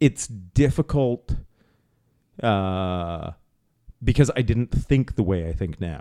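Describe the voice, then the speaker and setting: A man with a fairly low pitch and a dark, mellow tone uses lively intonation on a very clean recording with a silent background. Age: 40s. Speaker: podcast host. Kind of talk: casual chat. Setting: kitchen table.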